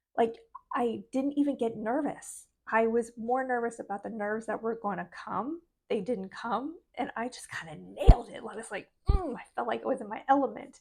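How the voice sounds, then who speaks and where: Speaking at a moderate pace, a woman uses a fairly high pitch with vocal fry and ordinary pitch variation. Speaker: spiritual life coach vlogger. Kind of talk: motivational vlog talk. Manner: soft-spoken.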